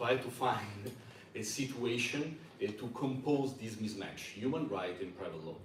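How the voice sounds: A man with an Italian accent, fairly low in pitch, at a moderate pace with ordinary pitch variation and audible room echo.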